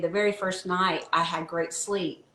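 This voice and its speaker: A woman's medium-pitched voice with fairly even intonation amid noticeable background noise. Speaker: wellness product promoter. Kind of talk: casual interview chat.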